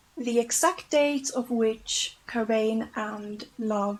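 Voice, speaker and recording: With a non-native accent, a woman with a high voice talks at a very slow pace, using ordinary pitch variation. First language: not English. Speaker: YouTuber. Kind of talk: documentary-style narration of facts. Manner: casual, with fillers.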